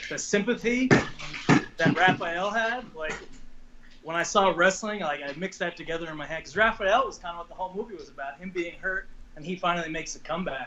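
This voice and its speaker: Noticeable background noise sits behind a man speaking at a fairly quick pace. His pitch is high, with ordinary variation. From Long Island, New York. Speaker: professional wrestler. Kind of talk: interview. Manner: casual, hesitant.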